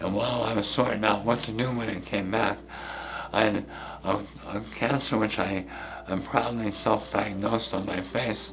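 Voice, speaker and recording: A man's fairly low voice with fairly even intonation at a moderate pace, with noticeable background noise and audible room echo. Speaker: artist and cancer survivor. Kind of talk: interview testimony. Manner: halting.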